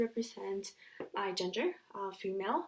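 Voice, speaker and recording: A woman is speaking. Her pace is moderate. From US (moved from Mexico at six). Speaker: university student. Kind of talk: class presentation. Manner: hesitant, many fillers.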